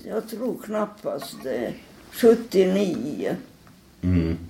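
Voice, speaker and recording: A woman is talking, and noticeable background noise can be heard. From Finland, Helsinki. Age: 80s+. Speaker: elderly artist and typographer. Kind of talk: interview. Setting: at her home. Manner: halting.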